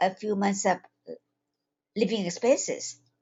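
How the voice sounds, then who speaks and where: A medium-pitched woman with a Taiwanese accent. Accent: Taiwanese accent in English, noticeable. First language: Chinese. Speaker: holistic health coach and psychiatric nurse. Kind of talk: webinar talk. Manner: halting, with fillers.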